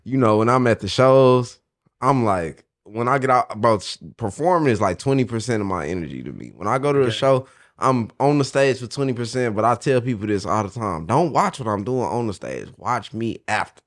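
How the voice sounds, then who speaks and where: In a very clean recording with a silent background, a man with an American accent speaks in an unremarkable speaking voice at medium pitch, with ordinary pitch variation and a moderate pace. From Oklahoma. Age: 20s. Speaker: independent rapper. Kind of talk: casual interview chat.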